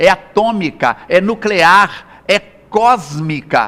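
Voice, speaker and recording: Pitched high, a man speaks in a raised, projected voice with very wide pitch swings. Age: 60s. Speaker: health speaker and spiritist lecturer. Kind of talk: interview. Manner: animated.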